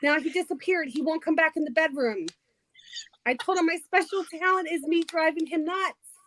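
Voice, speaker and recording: A woman with an extremely high pitch speaks at a fairly quick pace in a slight New Jersey accent, with an animated tone and ordinary pitch variation. The sound is dry and close, with no echo. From New Jersey, Trenton. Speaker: livestream participant, crafter. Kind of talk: casual chat.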